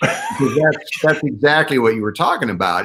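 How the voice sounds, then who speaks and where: A man with a fairly high pitch and a bright, sharp tone talks at a fairly quick pace, his voice showing vocal fry and very wide pitch swings. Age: 60s. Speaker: leadership keynote speaker and author. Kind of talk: interview.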